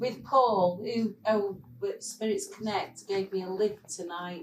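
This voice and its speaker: This woman speaks in a Mancunian accent at a medium pitch. Her pace is fairly slow and her intonation is lively. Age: 60s. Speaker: former club-goer sharing memories. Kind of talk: casual group reminiscence. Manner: animated.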